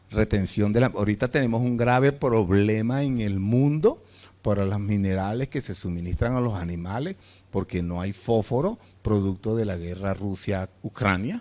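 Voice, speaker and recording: A man's fairly low voice, dark and mellow in tone, with ordinary pitch variation, a moderate pace, and a quiet background. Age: 60s. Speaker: veterinarian. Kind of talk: lecture. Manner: halting, many fillers and restarts.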